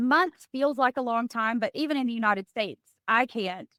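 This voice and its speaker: A woman with a Southern US accent and a high pitch speaks at a fairly quick pace with ordinary pitch variation, in a dry, close sound with no echo. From East Tennessee. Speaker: former state representative and CEO. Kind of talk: interview answer. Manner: enthusiastic.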